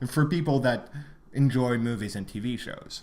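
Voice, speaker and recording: A man speaks at a moderate pace, with audible room echo around his voice. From Quebec, Montreal. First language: French. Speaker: podcast co-host. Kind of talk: casual chat. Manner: hesitant, many fillers.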